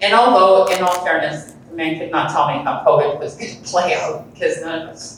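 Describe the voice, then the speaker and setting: A woman talks fairly fast in a room with audible echo, and noticeable noise fills the background. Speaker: real estate agent hosting event. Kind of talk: event welcome speech. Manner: animated, rambling.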